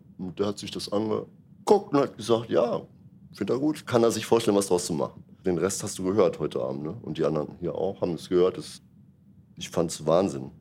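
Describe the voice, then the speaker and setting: A man with a fairly low pitch and a dark, mellow tone speaks at a fairly quick pace, his intonation lively and his loudness swinging widely. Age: 60s. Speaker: jazz musician and music teacher. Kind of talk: interview after a concert.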